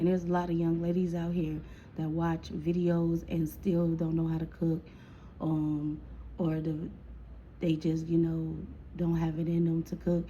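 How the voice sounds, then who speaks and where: At a moderate pace with long, frequent pauses, a woman speaks in a fairly low, somewhat breathy voice with a dark, mellow tone and monotone, flat intonation. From Chicago. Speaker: storytime vlogger. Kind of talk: casual storytime monologue. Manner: casual, chatty.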